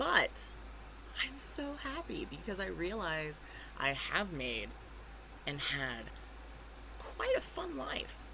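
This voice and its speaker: A woman with an American accent speaks at a very slow pace with long, frequent pauses, and the recording has audible room echo and noticeable background noise. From US Pacific Northwest (Eugene, Oregon). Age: 30s. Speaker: small business owner vlogger. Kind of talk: personal vlog. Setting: bedroom, handheld camera. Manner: halting.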